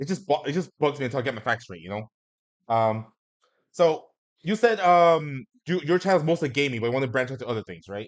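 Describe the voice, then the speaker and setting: Over a quiet background, a man races along at a very fast pace with very wide pitch swings, in a dry, close sound with no echo. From Mexican heritage. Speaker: talk show host streamer. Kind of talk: casual chat. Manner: halting, many fillers and restarts.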